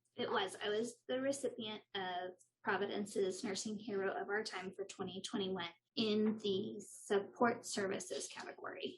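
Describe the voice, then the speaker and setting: Delivered with a West Texas accent, the speech moves at a moderate pace with fairly even intonation. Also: woman, medium pitch for a woman. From Texas (Lubbock). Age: 30s. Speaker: nurse. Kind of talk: interview.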